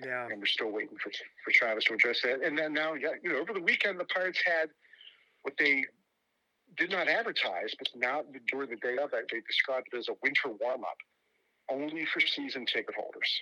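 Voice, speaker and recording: Speaking fairly quickly with an American accent, a man leaves long, frequent pauses, recorded with a dry, close sound and no echo. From Pittsburgh, western Pennsylvania. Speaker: baseball journalist. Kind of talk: podcast interview.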